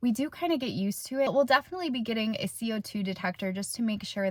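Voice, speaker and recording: A woman talks at a fairly quick pace in a somewhat breathy voice with ordinary pitch variation. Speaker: van life vlogger. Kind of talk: casual vlog. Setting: inside a conversion van.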